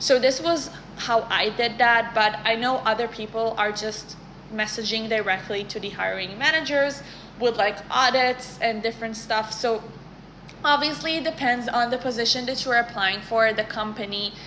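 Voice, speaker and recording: The speaker has a non-native accent and fairly even intonation at a moderate pace. Noticeable background noise is present. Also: woman, fairly high pitch for a woman. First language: not English. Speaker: career content creator. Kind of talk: casual advice talk to camera. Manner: conversational, some self-corrections.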